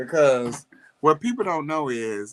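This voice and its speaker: This man has a St. Louis accent and an animated tone. His intonation is lively and his pace moderate. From US Midwest, St. Louis. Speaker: livestream co-host. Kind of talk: casual chat.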